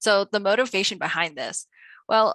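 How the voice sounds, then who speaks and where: A woman speaks in a bright, sharp tone against a quiet background, with a dry, close sound and no echo. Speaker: statistician and data privacy researcher. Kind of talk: lecture. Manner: fast.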